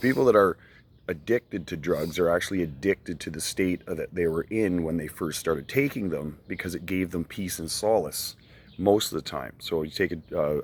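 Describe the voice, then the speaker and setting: A man speaks at a very deep, low pitch on a very clean recording with a silent background. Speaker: online video creator answering viewer questions. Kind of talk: casual talk to camera. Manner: fast.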